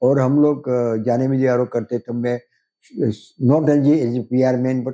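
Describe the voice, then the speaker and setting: Recorded dry and close with no echo, a man speaks at a moderate pace in a monotone, flat way, his tone dark and mellow. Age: 80s+. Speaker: film director and producer. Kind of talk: interview answer.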